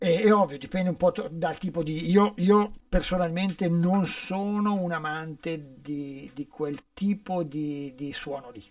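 Against a quiet background, a man speaks at a very slow pace. His pitch is high, with ordinary pitch variation. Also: big swings in loudness. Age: 60s. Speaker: session guitarist; guest. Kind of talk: casual interview. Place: studio. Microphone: studio mic.

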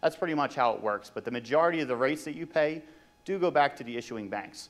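A man talks at a very fast pace with ordinary pitch variation. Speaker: presenter. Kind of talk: conference presentation. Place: hall. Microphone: handheld.

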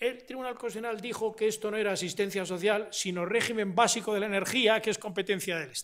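Over a quiet background, a man with a high pitch talks at a very fast pace with hardly any pauses. His intonation stays fairly even. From Spain. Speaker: constitutional law professor; invited lecturer, constitutional law professor. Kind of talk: lecture. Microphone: podium.

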